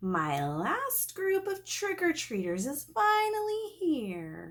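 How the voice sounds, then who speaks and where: A female-sounding, put-on character voice has an extremely high pitch. It moves at a very slow pace. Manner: scary.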